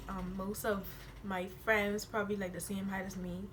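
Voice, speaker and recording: Audible room echo surrounds a woman talking at a moderate pace and medium pitch. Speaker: YouTuber. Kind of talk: casual chat. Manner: hard to understand when comfortable.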